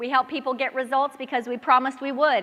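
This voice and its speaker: A woman with a high-pitched voice speaks in an animated tone at a fairly quick pace. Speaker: network marketing trainer. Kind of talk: training talk to live audience.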